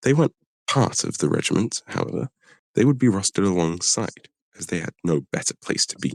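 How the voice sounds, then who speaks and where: Fairly quickly and with vocal fry, a man speaks in a fairly low voice with very wide pitch swings. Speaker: streamer. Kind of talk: reading aloud. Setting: live stream. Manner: halting.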